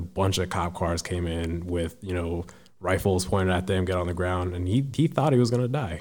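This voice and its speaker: Pitch variation is ordinary. The pace is moderate. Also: man. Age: 20s. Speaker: military service member and public speaker. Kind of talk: casual interview.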